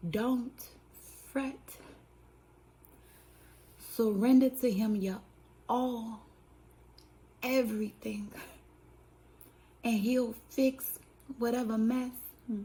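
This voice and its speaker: A woman's fairly high, dark and mellow voice, very slow with long, frequent pauses and fairly even intonation. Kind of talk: spoken word poetry reading. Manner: rhythmic, preacher-like, emphatic.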